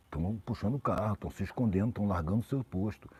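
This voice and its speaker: Dark and mellow in tone, a man's somewhat breathy voice moves at a moderate pace, the sound dry and close with no echo. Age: 60s. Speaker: social commentator. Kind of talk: live stream conversation. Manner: casual, slangy.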